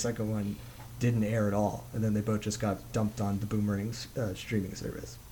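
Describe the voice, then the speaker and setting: A man with an American accent, his dark, mellow tone somewhat breathy and fairly low, at a very fast pace. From Texas. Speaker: podcast host. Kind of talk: casual chat. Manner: halting.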